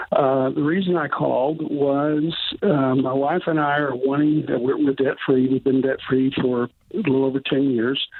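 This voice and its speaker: A man speaks at a moderate pace in a fairly high pitch. Noticeable background noise runs under his voice. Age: 60s. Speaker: caller. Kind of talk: phone-in question. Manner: halting.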